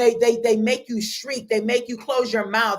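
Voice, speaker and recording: A woman speaks in an animated tone. Her pitch is fairly high. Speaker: life coach. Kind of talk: motivational talk. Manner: loud.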